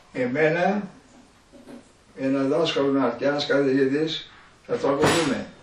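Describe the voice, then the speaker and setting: Background noise is noticeable as a man speaks at a fairly slow pace, his pitch fairly high with ordinary variation. He leaves long, frequent pauses. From Epirus, Greece. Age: 80s+. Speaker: villager. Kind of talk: oral history interview answer.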